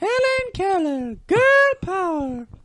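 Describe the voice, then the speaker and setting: A man puts on a squeaky character voice at an extremely high pitch. His pitch swings very widely. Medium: comedy sketch. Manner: gossipy, rambling.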